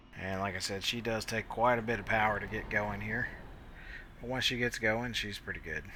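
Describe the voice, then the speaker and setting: In a room with audible echo, a man with a bright, sharp tone and medium pitch talks at a fairly quick pace in a monotone, flat delivery. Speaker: flight sim video creator. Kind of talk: tutorial. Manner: casual, hesitant fillers.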